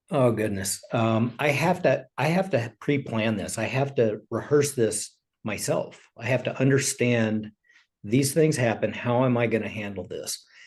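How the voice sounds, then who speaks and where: The man's voice is somewhat breathy, at a medium pitch. He speaks at a fairly slow pace. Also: ordinary pitch variation. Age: 60s. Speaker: retired police investigator. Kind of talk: interview.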